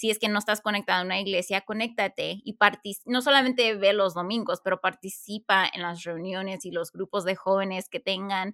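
Over a very clean recording with a silent background, a woman with a bright, sharp tone speaks at a medium pitch and a fairly quick pace, keeping her intonation fairly even. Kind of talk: casual chat.

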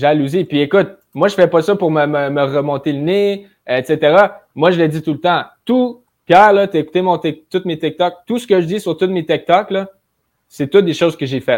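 A man talks in an energetic tone at a moderate pace, his pitch high. The recording is very clean, with a silent background. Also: ordinary pitch variation. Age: 20s. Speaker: young real estate investor. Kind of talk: casual interview chat.

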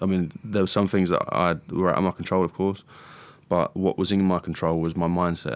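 A man with a very deep, low voice and a southern English accent talks at a fairly quick pace in a flat monotone, recorded very cleanly against total silence. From southern England, Hertfordshire. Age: 20s. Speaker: mixed martial arts fighter. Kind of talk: casual interview.

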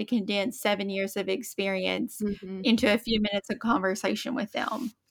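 A woman with an Appalachian accent, medium pitch and fairly even intonation, on a very clean recording with a silent background. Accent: Appalachian Southern US. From Eastern Kentucky, Appalachia. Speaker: podcast co-host, military spouse. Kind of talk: casual chat.

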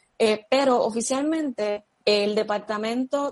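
A woman talks in a normal speaking voice at a fairly high pitch. Her pitch varies in an ordinary way. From Puerto Rico, Vega Baja. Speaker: athletic therapist and public health professional. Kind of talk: interview.

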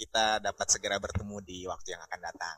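The man's voice sits fairly low in pitch and has a bright, sharp tone. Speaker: podcast guest. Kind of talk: casual chat.

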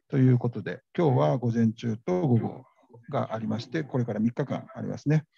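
With lively intonation and a dark, mellow, somewhat breathy tone, a man speaks at a moderate pace and a medium pitch in a dry, close sound with no echo. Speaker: radio host. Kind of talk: live event reporting. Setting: conference venue, live. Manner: halting, many fillers.

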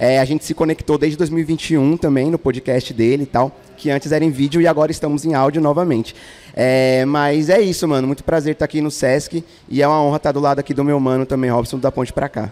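Speaking at a very fast pace, a man keeps his fairly high pitch on a fairly even intonation. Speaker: podcast host. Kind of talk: casual chat. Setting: stage with audience.

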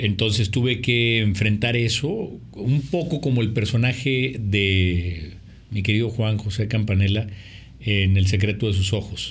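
In a room with audible echo, a man speaks at a fairly slow pace with a fairly low pitch, ordinary pitch variation, a somewhat breathy quality and very even loudness. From Mexico, Monterrey. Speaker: film director and producer. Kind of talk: interview. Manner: halting, repeats words.

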